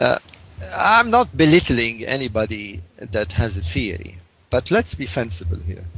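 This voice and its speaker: The man's voice is somewhat breathy. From Egypt. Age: 60s. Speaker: author and researcher. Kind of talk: interview. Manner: halting.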